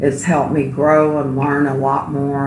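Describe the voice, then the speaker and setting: A woman with a very deep, low pitch speaks fairly slowly, her intonation fairly even. Noticeable background noise and audible room echo fill the recording. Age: 60s. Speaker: registered nurse, support group member. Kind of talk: interview testimony.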